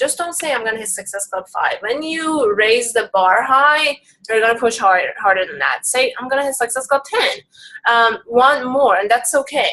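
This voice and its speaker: A woman with a high-pitched voice talks at a moderate pace. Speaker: fitness business coach. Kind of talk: group coaching call.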